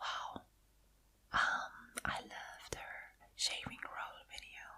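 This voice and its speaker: A woman whispers while noticeable noise sits in the background. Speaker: ASMR artist. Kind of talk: ASMR whisper talk. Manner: whispered, soft-spoken.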